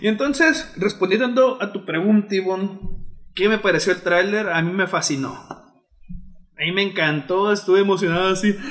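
With a Mexican accent, a man speaks at a high pitch and a moderate pace over noticeable background noise. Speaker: podcast co-host. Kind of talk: casual chat. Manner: halting.

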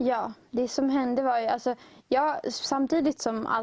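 A woman speaks in a plain, everyday voice. Her pace is moderate. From Uppsala, Sweden. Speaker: student guest. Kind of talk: interview, personal testimony.

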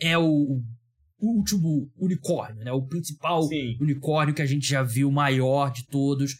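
The recording is very clean with a silent background. A man with a fairly high, somewhat breathy voice speaks at a moderate pace. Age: 30s. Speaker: podcast host. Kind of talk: casual chat.

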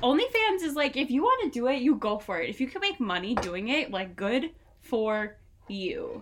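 A woman speaks at a moderate pace in a high voice with very wide pitch swings. Noticeable background noise runs underneath. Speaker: podcast host. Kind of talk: casual chat over drinks. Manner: animated.

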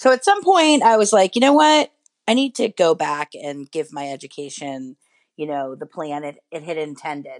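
A woman's very deep, low voice with very wide pitch swings and big swings in loudness, moderate pace, dry close sound with no echo. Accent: American. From New York City. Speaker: education writer and editor, former teacher. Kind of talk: interview.

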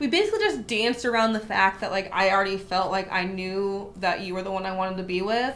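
The intonation stays fairly even. Audible room echo is present. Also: woman. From small town. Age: 20s. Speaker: podcast co-host. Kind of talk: casual chat.

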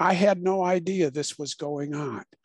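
With an American accent, a man comes through in a dry, close sound with no echo. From Illinois, US Midwest. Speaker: author and mental health practitioner. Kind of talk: interview.

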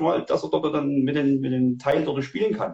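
A man at a moderate pace. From Saxony, Germany. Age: 40s. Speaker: hunter and tracking dog handler. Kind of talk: livestream interview. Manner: hesitant, many fillers.

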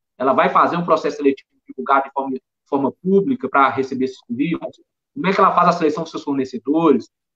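A man talks at a very fast pace with lively intonation and a bright, sharp tone. The sound is dry and close, with no echo. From Belo Horizonte, Minas Gerais, Brazil. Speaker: auditor and accountant. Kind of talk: live-streamed panel interview.

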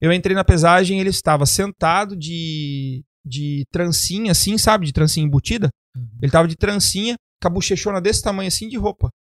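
A man's high voice at a fairly quick pace, in a dry, close sound with no echo. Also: ordinary pitch variation. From Brazil. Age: 30s. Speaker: bodybuilding coach and podcast host. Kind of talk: casual chat.

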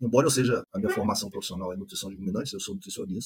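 This man has a medium pitch, lively intonation and a somewhat breathy voice. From Brazil, Espírito Santo interior. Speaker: animal science professor. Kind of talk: interview, technical explanation.

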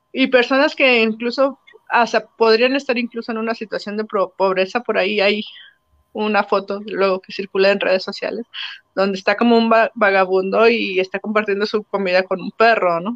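This woman has a normal speaking voice, pitched fairly high, with fairly even intonation at a moderate pace. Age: 30s. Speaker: university professor. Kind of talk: interview.

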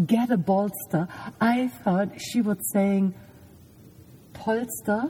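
Against noticeable background noise, a woman speaks fairly slowly at a medium pitch. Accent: German. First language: German. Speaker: podcast host. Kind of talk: casual chat. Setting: lying in a parked van at night.

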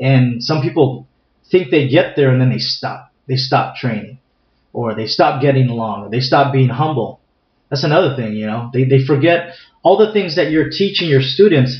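Somewhat breathy and medium in pitch, a man with an American accent talks at a moderate pace with ordinary pitch variation. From San Diego, California. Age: 40s. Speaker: martial arts instructor. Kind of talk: interview. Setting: recorded live in Escondido, near San Diego.

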